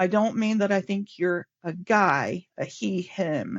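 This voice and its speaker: This woman has a plain, everyday voice. Her medium pitch shows ordinary pitch variation. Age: 60s. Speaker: scrum master and workplace pride chair. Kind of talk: podcast interview.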